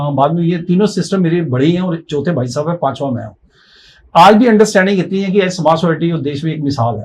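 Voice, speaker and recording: This man talks in a high-pitched voice with ordinary pitch variation. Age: 60s. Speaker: life coach. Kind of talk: interview.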